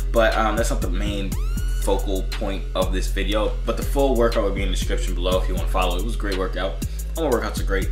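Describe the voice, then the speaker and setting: Clear music plays behind a man who speaks at a very fast pace. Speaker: fitness vlogger. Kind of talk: casual vlog chat. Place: home room. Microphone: phone near.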